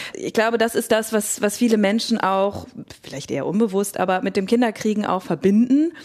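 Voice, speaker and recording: Noticeable background noise sits under a woman's fairly high voice. She talks at a fairly quick pace with ordinary pitch variation. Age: 30s. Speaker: psychotherapist, co-host. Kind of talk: casual conversation.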